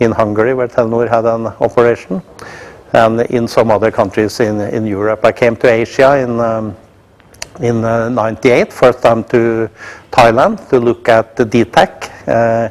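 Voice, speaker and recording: Over noticeable background noise, a man speaks with a Norwegian accent. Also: medium pitch for a man, fairly even intonation, moderate pace. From Norway. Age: 60s. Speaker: company executive. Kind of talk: introductory speech to staff. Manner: halting, many filler sounds.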